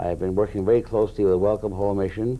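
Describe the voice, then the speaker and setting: A man is speaking. His tone is dark and mellow. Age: 60s. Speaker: retired navy sailor, shelter founder. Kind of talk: interview. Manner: halting.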